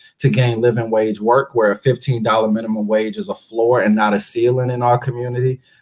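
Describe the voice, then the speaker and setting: The pace is fairly quick. This is a normal speaking voice. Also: man. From Washington DC, Congress Heights. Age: 20s. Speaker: local politician. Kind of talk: interview. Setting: live radio show.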